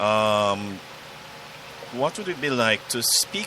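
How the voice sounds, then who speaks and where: A man with a Jamaican accent at a medium pitch, very slow in pace, over noticeable background noise. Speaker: podcast guest. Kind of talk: interview.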